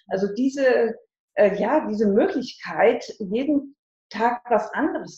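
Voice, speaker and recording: Fairly slow and somewhat breathy, a woman speaks in a dark, mellow tone with lively intonation. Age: 60s. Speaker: life transition coach. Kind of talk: interview.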